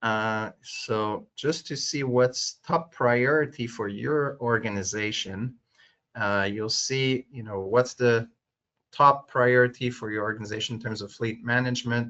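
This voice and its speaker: A man with a French accent talks at a fairly slow pace, his medium pitch carrying fairly even intonation. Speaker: webinar host, tech company vice president. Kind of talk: webinar Q&A and poll moderation. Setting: online webinar. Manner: many filler words, hesitant.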